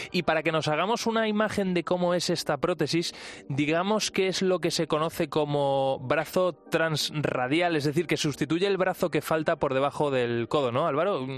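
A man with a normal speaking voice talks at a moderate pace in a fairly high pitch, with very even loudness, ordinary pitch variation and hardly any pauses. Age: 30s. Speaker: radio host. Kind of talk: radio science and technology show.

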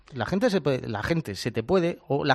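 A man is speaking. His pitch swings very widely. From rural Spain. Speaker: futsal pundit. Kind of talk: panel discussion. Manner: animated.

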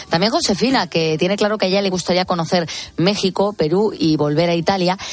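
Noticeable background noise sits behind a woman who speaks at a fairly quick pace. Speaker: radio co-host reading listener messages. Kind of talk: casual chat. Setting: studio.

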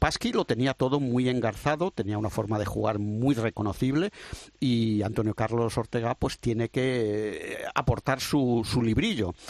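A man's normal speaking voice at medium pitch, fairly slow, with very even loudness and a dry, close sound free of echo. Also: ordinary pitch variation. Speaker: former handball player, pundit. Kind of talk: casual chat.

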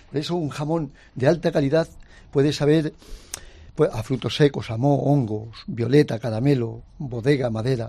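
A man's somewhat breathy voice with a dark, mellow tone, fairly high pitch, ordinary pitch variation and a moderate pace. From Spain, Ávila. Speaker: ham carver. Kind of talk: interview. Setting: studio with live audience. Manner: animated.

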